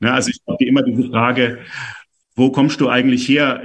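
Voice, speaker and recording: A man's voice, an ordinary speaking voice, medium in pitch, with ordinary pitch variation and a fairly quick pace. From Stuttgart, Swabia. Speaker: author. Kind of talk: interview. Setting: video call.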